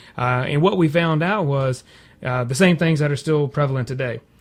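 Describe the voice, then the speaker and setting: The pace is fairly quick, with ordinary pitch variation. Noticeable background noise runs underneath. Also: man. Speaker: broadband company representative. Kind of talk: radio interview answer. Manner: conversational, fluent.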